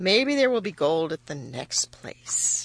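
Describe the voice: A woman's slow, low put-on character voice with vocal fry and big pitch swings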